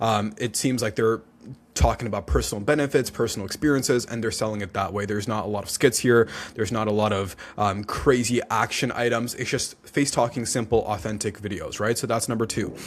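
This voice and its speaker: A man speaks at a fairly quick pace. His pitch sits in the medium range. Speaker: TikTok Shop agency owner. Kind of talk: tutorial. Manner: fast; casual, filler-heavy.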